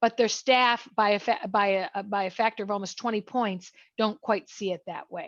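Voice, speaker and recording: Speaking at a fairly slow pace with ordinary pitch variation, the voice sounds dry and close, with no echo and a quiet background. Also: woman. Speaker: business association leader presenting survey results. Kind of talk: webinar presentation. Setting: online webinar. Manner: halting with many fillers and restarts.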